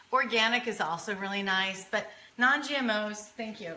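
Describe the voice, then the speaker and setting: Against noticeable background noise and audible room echo, a woman talks at a moderate pace with a fairly high pitch and ordinary pitch variation. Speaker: cooking show host. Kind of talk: live cooking demonstration. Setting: home kitchen, live stream. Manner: casual, chatty.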